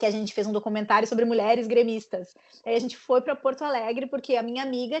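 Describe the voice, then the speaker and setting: A woman is speaking here. Her voice sits at a high pitch. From southern Brazil, Rio Grande do Sul. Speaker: sports journalist. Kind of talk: panel talk with students. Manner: casual, many fillers and repetitions.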